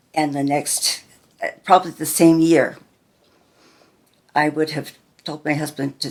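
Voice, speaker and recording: A woman with an American accent speaks very slowly at a very deep, low pitch, with vocal fry and fairly even intonation. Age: 70s. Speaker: grandmother interviewed about her life. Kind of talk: family oral history interview.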